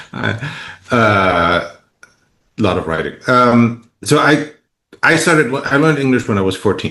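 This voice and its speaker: A man with a German accent, medium pitch, bright and sharp in tone, lively intonation, a fairly slow pace and long, frequent pauses. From East Germany. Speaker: novelist. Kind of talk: interview. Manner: halting.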